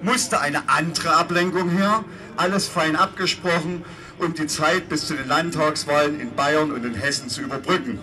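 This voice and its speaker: The speech moves at a fairly slow pace, with faint music in the background. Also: man. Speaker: speaker. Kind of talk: political speech. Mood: sarcastic, combative. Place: street.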